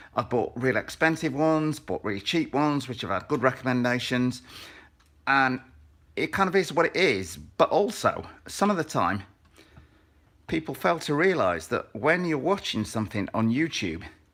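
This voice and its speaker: Vocal fry and very wide pitch swings at a moderate pace, in a very clean recording with a silent background. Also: man, fairly high pitch for a man. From northern England, Sheffield. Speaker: RC car hobbyist youtuber. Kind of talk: live stream build tutorial. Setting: garage basement, live stream. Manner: casual, rambling with fillers.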